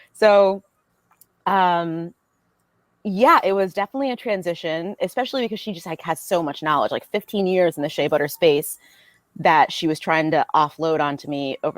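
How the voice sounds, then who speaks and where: Speaking in an unremarkable speaking voice with an American accent, a woman talks at a fairly quick pace with fairly low pitch and lively intonation, the sound dry and close with no echo. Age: 30s. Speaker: business owner. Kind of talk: podcast interview. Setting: podcast.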